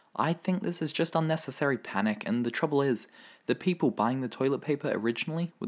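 A man's medium-pitched voice in an Australian accent, very fast with lively intonation, on a very clean recording with a silent background. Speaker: podcast host. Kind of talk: solo podcast monologue. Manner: casual, chatty.

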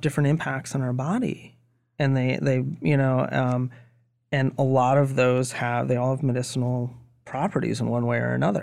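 A man with an American accent speaks in an unremarkable speaking voice at a medium pitch and a moderate pace, on a very clean recording with a silent background. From Maine, US. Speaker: cannabis investor. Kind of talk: casual chat.

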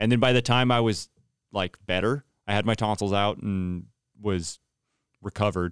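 Speech with an American accent comes at a moderate pace with long, frequent pauses and fairly even intonation, in a very clean, dry, close recording with a silent background and no echo. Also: man, fairly low pitch for a man. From US West (California Central Valley). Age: 30s. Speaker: worship pastor and podcast host. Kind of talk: casual chat. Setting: studio. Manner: talkative, often interrupts.

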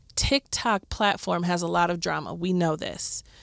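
A woman with a Midwestern accent talks at medium pitch with lively intonation. The sound is dry and close, with no echo. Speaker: podcast co-host. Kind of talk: casual chat. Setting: studio.

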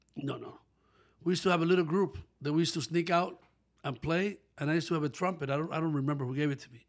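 A man with a Spanish accent talks at a very fast pace. He leaves long, frequent pauses. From Dominican Republic, northwest near Haitian border. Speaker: saxophonist and music producer. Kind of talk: casual interview.

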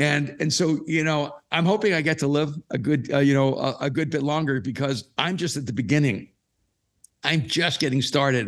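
A man's fairly high-pitched, normal speaking voice at a moderate pace with ordinary pitch variation, on a very clean recording with a silent background. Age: 60s. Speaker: author and pastor. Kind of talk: recorded live interview, casual conversation.

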